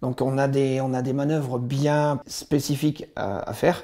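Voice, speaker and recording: A man speaks at a fairly high pitch in a dark, mellow tone. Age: 50s. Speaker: army veteran. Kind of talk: testimony. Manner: halting.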